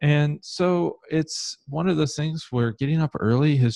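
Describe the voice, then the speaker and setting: A man with a Midwestern US accent speaks in a dark, mellow tone with lively intonation. The sound is dry and close with no echo, over a quiet background. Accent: US Midwest. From Ohio, Columbus. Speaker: conversion optimization consultant. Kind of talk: interview.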